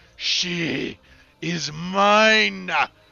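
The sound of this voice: A man puts on a character voice with a high pitch.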